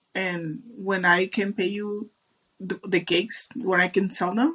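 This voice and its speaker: A woman with a strong Mexican accent talks at medium pitch and a fairly slow pace, with ordinary pitch variation and vocal fry. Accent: thick Mexican Spanish. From Mexico. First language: Spanish. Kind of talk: casual interview.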